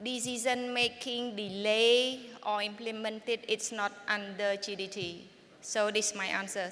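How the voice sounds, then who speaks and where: In a Cambodian accent, a woman speaks at a fairly high pitch. Her pace is moderate and her intonation monotone and flat. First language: Khmer. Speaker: tax department official. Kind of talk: panel discussion.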